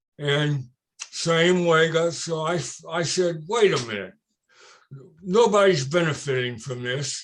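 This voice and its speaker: With an American accent, a man talks at a moderate pace. His pitch runs fairly high. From Cincinnati, Ohio, US Midwest. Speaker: retired victory lane coordinator. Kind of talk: interview. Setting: video call. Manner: loud.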